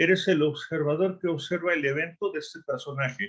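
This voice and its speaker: A man talks with an unremarkable speaking voice at a fairly high pitch. His pace is moderate, and his pitch varies in an ordinary way. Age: 60s. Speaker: coach. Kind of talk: panel discussion.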